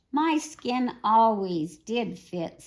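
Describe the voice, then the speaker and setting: Using a put-on character voice, a woman pitches her speech fairly high. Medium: read story. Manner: smooth, sly.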